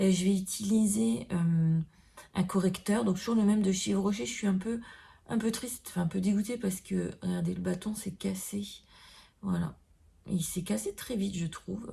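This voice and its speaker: A woman talks at a medium pitch and a moderate pace, with ordinary pitch variation and long, frequent pauses. Her tone is dark and mellow, and somewhat breathy. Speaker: beauty vlogger. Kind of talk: makeup tutorial. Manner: hesitant, many fillers.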